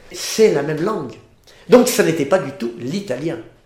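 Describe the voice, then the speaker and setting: With very wide pitch swings, a man talks at a moderate pace in a fairly high voice, and room echo can be heard. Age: 70s. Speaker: history society head. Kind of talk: interview. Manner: halting.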